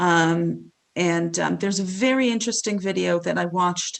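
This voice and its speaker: This woman talks at a fairly slow pace, medium in pitch, with ordinary pitch variation. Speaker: rabbi. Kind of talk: lecture. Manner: halting, many fillers.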